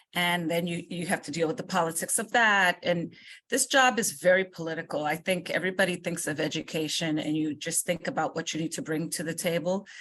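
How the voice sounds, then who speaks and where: A woman with a New York accent speaks at a fairly low pitch against a quiet background. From New York City, Washington Heights; Dominican family. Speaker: state education commissioner. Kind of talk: interview. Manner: forceful.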